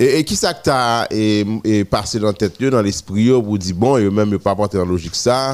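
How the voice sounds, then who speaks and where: The speaker talks at a moderate pace with ordinary pitch variation. It is a plain, everyday voice. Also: man, fairly low pitch for a man. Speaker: radio host. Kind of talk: morning radio show.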